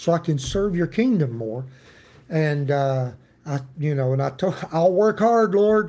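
A man talks at a fairly slow pace. His pitch is fairly high and his intonation lively. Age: 50s. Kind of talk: devotional Bible teaching. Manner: casual, folksy.

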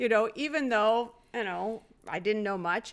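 In a very clean recording with a silent background, a woman uses a normal speaking voice, fairly high in pitch, with lively intonation at a fairly slow pace. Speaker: host's mother. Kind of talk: casual chat.

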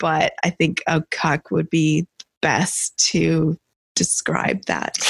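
A woman talks at a fairly low pitch with vocal fry. The sound is dry and close, with no echo. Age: 40s. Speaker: lifestyle co-host. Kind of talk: live podcast Q&A. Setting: studio.

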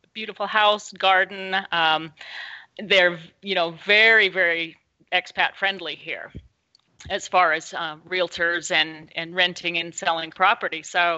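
A woman speaks with a Pacific Northwest accent at a fairly low pitch. Her intonation is monotone and flat. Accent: American (Pacific Northwest). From US Pacific Northwest. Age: 60s. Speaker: local journalist. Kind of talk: interview conversation. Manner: hesitant, many fillers.

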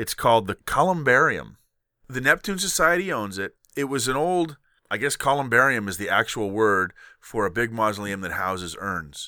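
A man speaks at a medium pitch and moderate pace with a bright, sharp tone and very wide pitch swings, on a very clean recording with a silent background. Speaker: podcast host. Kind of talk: casual chat.

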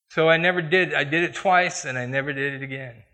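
Speaking in a Midwestern American accent, a man has a fairly high pitch and a bright, sharp tone. His pace is moderate, with ordinary pitch variation. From US Midwest, Iowa. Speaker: church elder, lay preacher. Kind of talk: sermon with personal testimony. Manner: conversational.

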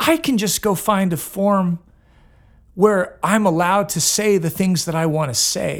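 A man with an American accent speaks at a fairly slow pace, his pitch high and his pitch variation ordinary. The recording is very clean, with a silent background. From Northern California. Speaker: singer-songwriter. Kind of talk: casual interview. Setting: backstage at an arts gathering.

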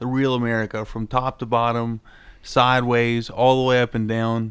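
A man with an Appalachian accent, medium pitch, monotone and flat, at a moderate pace. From Southern Ohio / Eastern Kentucky, Appalachia. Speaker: podcast co-host and amateur fighter. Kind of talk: casual chat.

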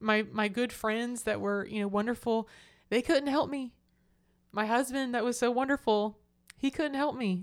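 A woman's fairly high voice with a slight Southern US accent and long, frequent pauses, on a very clean recording with a silent background. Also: ordinary pitch variation, moderate pace. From Florida Panhandle, US South. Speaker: churchgoer sharing faith story. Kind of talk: testimony.

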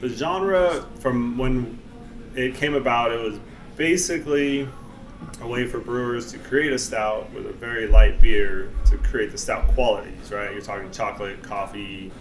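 With music in the background, a man speaks at a moderate pace in a medium pitch. His pitch variation is ordinary, while his loudness swings a lot. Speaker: brewer. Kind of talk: casual chat. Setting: brewery taproom, in person.

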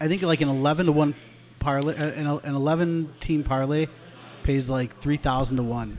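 A man talks in an ordinary speaking voice at a fairly high pitch. His pace is fairly slow and his intonation fairly even. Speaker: podcast co-host. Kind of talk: casual sports talk podcast.

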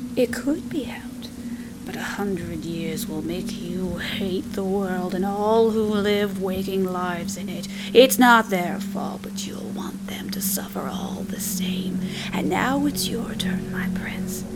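Over noticeable background noise, a woman talks at a very slow pace in a medium pitch with fairly even intonation. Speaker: storyteller narrating a ghost story. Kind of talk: horror story narration, creepy old woman telling a tale. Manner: slow, hushed, eerie, with sighs and gasping menace.

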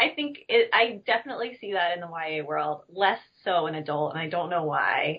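A woman with an American accent and an unremarkable speaking voice, fairly low in pitch, at a moderate pace with lively intonation. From US South, north Alabama. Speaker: book editor. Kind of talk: interview. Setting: video call.

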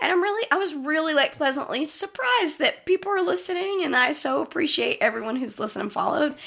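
An animated woman at a high pitch, with very wide pitch swings and a fairly quick pace, amid noticeable background noise. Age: 30s. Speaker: horror movie podcast co-host. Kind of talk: casual chat. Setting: same room as co-host.

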